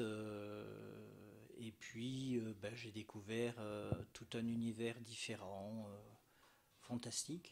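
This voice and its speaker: Speaking at a very slow pace, a man keeps a medium pitch and monotone, flat intonation. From French Alps (Hautes-Alpes, Barcelonnette). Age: 60s. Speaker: painter and art teacher. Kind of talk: interview. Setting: his painting studio. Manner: hesitant, many fillers.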